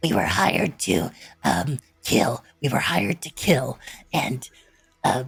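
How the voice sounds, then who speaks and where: In a put-on character voice, a raspy man at medium pitch speaks at a fairly slow pace with long, frequent pauses. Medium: actual play. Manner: halting, terse.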